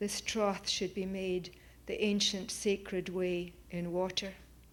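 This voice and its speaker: A woman with a Scottish accent at a medium pitch, speaking very slowly in a monotone, flat intonation. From Scotland, Oban. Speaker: poet. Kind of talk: poetry reading. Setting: auditorium with audience.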